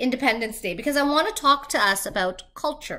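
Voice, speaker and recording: With a slight Canadian accent, a woman projects a raised voice at a moderate pace, high in pitch, bright and sharp in tone, with lively intonation. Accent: little accent, Canadian-sounding. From Trinidad and Tobago. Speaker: vlogger. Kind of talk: vlog monologue.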